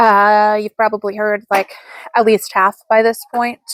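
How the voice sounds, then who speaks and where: In a dry, close recording with no echo, a woman speaks at a moderate pace with a medium pitch and flat, monotone intonation. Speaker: crochet content creator and market seller. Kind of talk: casual chat. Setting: at home with kids. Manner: casual, filler-heavy.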